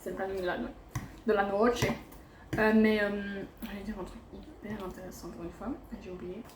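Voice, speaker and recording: A woman at a medium pitch, with big swings in loudness, long, frequent pauses, noticeable background noise and audible room echo. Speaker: travel vlogger. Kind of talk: casual vlog talk to camera. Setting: eating at a restaurant while filming. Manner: fast; chatty, animated.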